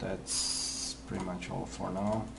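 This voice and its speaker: Noticeable background noise and audible room echo surround a man speaking at a fairly low pitch. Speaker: 3D visualization artist. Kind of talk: tutorial. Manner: halting, many fillers.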